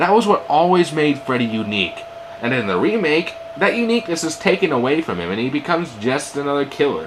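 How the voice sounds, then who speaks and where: A man speaks at a very fast pace in a fairly high pitch, with very wide pitch swings. Noticeable background noise is present. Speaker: amateur movie reviewer. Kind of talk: movie review narration.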